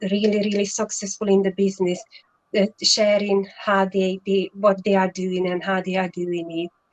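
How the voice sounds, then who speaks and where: At a fairly slow pace, a woman with a Hungarian accent speaks at medium pitch in a monotone, flat intonation. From Hungary. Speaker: online entrepreneur. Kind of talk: live stream interview.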